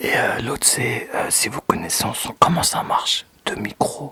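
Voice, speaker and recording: Whispering over noticeable background noise. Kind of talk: casual talk to camera. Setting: studio, microphone close. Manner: relaxed, chatty.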